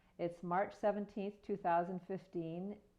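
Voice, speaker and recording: A woman with a plain, everyday voice, a fairly low pitch, fairly even intonation and a fairly slow pace. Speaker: oral history interviewer. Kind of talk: interview questions.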